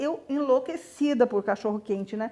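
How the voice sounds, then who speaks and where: With a dark, mellow tone, a woman speaks at a high pitch and a moderate pace, with ordinary pitch variation. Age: 60s. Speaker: mother. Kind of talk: documentary interview.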